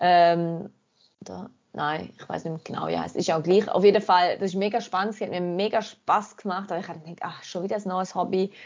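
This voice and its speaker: A woman talks in a normal speaking voice at medium pitch and a fairly quick pace. Her intonation is fairly even, with big swings in loudness. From Germany. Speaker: outdoor photographer. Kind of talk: casual chat.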